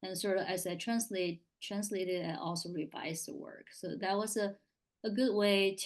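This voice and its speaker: This woman talks at a moderate pace and medium pitch in a Chinese accent. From northern China. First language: Mandarin Chinese. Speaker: author. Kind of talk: panel interview. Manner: halting, many fillers.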